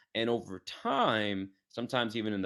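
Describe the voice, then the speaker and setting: Over a quiet background, a man with an American accent talks at a fairly low pitch with ordinary pitch variation. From New York City, Queens. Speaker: fitness coach. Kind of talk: podcast interview. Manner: fast.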